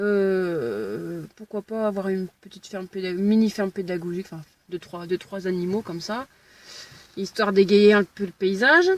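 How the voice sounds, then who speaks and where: The sound is dry and close, with no echo. A woman of medium pitch speaks at a moderate pace with ordinary pitch variation. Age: 30s. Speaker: aspiring farmer vlogger. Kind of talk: casual vlog. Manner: halting.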